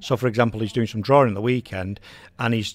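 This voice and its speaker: Speaking at a very fast pace, a man has an English accent. His medium pitch follows fairly even intonation. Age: 50s. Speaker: radio host. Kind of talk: casual chat.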